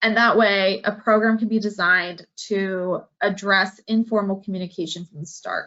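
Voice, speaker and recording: Using an ordinary speaking voice, a woman talks at a moderate pace and medium pitch with fairly even intonation and hardly any pauses. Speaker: marine scientist presenter. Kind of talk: Q&A answer; lecture.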